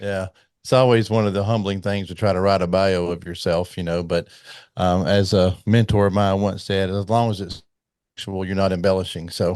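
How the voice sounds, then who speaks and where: A man with a very deep, low pitch and an American accent, monotone, flat intonation at a moderate pace, quiet background. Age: 60s. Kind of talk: casual interview chat.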